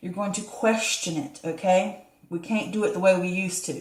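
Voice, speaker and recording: Audible room echo surrounds this voice. A woman speaks at a medium pitch. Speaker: tarot reader. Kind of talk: tarot reading to camera. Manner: fast; stumbling over words.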